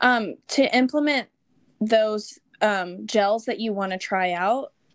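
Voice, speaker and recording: A woman with an unremarkable speaking voice at a fairly high pitch with ordinary pitch variation, in a very clean recording with a silent background and a dry, close sound with no echo. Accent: American. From Texas. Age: 20s. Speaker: amateur marathon runner. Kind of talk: interview conversation.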